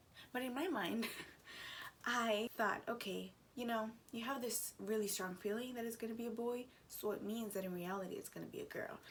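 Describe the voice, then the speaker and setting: A woman talks quietly at a fairly quick pace, her pitch fairly high. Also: ordinary pitch variation. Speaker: vlogger. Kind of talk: casual vlog talk. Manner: quiet, lowered voice.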